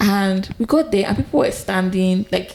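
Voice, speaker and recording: A woman speaks with a Nigerian accent. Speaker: podcast co-host. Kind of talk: casual chat.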